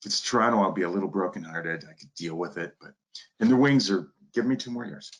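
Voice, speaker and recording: A man with an American accent, fairly low-pitched, very fast, with lively intonation and big swings in loudness. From Detroit area, Michigan. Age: 60s. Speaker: turfgrass professor. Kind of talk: lecture. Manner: animated.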